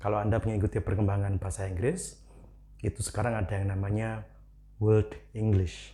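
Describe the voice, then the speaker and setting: Talking at a fairly quick pace, a man with a fairly low pitch and a dark, mellow, somewhat breathy tone speaks in a monotone, flat intonation. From Indonesia, Malang, East Java. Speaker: English teacher. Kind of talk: educational talk. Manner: casual, conversational.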